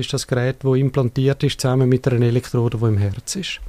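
Speaking at a fairly quick pace, a man uses a medium pitch with fairly even intonation and a dark, mellow tone. The sound is dry and close, with no echo. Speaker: cardiac device specialist. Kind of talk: interview.

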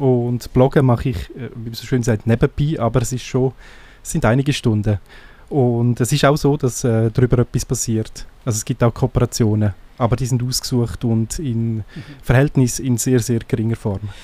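In a Graubünden Swiss accent, a man speaks at a moderate pace and medium pitch. His tone is dark and mellow, with fairly even intonation. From Graubünden, eastern Switzerland. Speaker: blogger and podcaster. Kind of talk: interview.

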